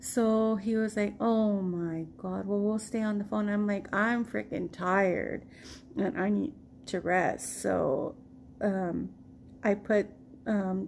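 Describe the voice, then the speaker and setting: A woman speaks with an American accent at a very slow pace. Her intonation stays fairly even. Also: medium pitch for a woman. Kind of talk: casual storytime talk to camera.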